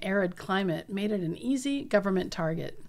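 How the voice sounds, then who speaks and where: Here is a woman with an American accent and a plain, everyday voice. Her pitch is medium and her pace is moderate. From US Pacific Northwest, southeastern Washington State. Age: 50s. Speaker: podcast host, doctor. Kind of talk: memoir narration.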